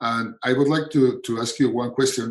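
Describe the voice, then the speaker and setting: Keeping a fairly even intonation, a man with a Spanish accent speaks at a medium pitch. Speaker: pediatric endocrinologist. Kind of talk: webinar panel discussion. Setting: online webinar. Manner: hesitant, with fillers.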